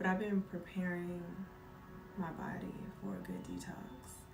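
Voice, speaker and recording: With music in the background and audible room echo, a woman speaks in a relaxed, soothing tone with long, frequent pauses. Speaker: live streamer. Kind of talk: casual chat.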